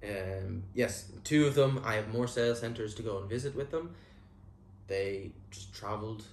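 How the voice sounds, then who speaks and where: A somewhat breathy man speaks at a moderate pace with ordinary pitch variation and big swings in loudness. Audible room echo and light background noise surround him. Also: fairly low pitch for a man. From Ireland. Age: 20s. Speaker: real estate agent. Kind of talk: vlog monologue. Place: home room. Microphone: lapel.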